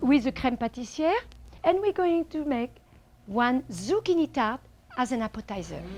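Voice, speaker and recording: A woman with a French accent speaks at a high pitch and a moderate pace. Her voice makes very wide pitch swings. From France. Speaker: chef. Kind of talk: cooking show host talk to audience. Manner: bubbly.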